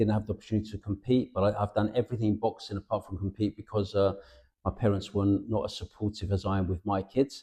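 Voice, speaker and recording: Over a quiet background, a man talks at a very fast pace with a fairly low pitch and monotone, flat intonation. His tone is dark, mellow and somewhat breathy. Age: 60s. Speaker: boxing promoter. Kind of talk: interview. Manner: halting, with frequent restarts.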